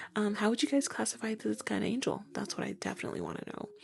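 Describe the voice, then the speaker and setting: This is a woman speaking. She is soft-spoken. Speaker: tarot reader. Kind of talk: tarot reading monologue. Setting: home recording at night. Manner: casual.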